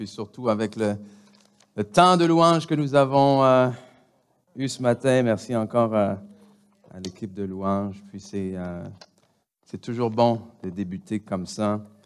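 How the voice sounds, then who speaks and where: A man's fairly low voice at a very slow pace, with long, frequent pauses, ordinary pitch variation and big swings in loudness. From DR Congo. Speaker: pastor. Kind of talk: church announcements. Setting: church. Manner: halting, many hesitations.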